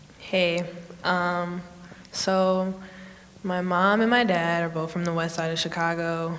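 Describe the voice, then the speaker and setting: In an American accent, a woman with a fairly low pitch talks at a very slow pace in a monotone, flat way, with long, frequent pauses, audible room echo and noticeable background noise. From Oak Park, Illinois. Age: young. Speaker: panelist. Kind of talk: panel discussion.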